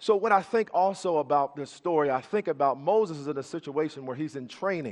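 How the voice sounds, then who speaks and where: A man with an ordinary speaking voice speaks at a moderate pace with lively intonation. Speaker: preacher. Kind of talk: sermon. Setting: church.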